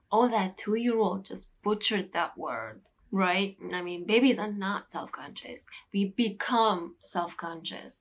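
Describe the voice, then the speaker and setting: A woman speaks with a Turkish accent and fairly even intonation. The recording is very clean with a silent background. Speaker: English teacher youtuber. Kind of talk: vlog talk to camera.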